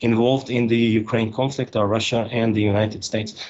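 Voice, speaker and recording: Here a man is speaking. He has a Hungarian accent. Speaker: geopolitical analyst. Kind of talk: interview. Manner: halting, many fillers.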